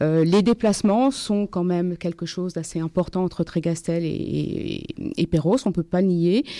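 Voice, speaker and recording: In a dry, close recording with no echo, a woman with a dark, mellow tone and medium pitch talks at a moderate pace with ordinary pitch variation. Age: 60s. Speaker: municipal election candidate. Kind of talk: political debate.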